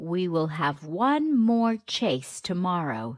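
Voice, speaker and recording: A female-sounding put-on character voice at a middle pitch, with very wide pitch swings. She talks at a very slow pace on a very clean recording with a silent background. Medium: read story. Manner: authoritative.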